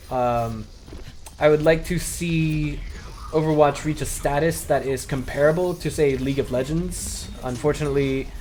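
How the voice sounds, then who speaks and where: Noticeable background noise sits under the speech. The pace is moderate and the intonation fairly even. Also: man, fairly high pitch for a man. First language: not Chinese. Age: 20s. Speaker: esports commentator. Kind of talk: casual vlog monologue. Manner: hesitant, with fillers.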